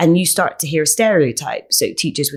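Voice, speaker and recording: Speaking with a Bristol accent, a woman uses lively intonation at a fairly low pitch. The recording is very clean, with a silent background. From England, Bristol (Easton). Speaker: educator and speaker. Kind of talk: interview.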